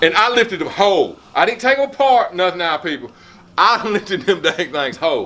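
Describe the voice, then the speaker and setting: Over noticeable background noise, a man with a South Carolina accent uses a raised, projected voice at a moderate pace, his animated tone marked by very wide pitch swings. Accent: Southern US (South Carolina). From South Carolina, US South. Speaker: vlogger. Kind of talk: casual chat. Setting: home gym.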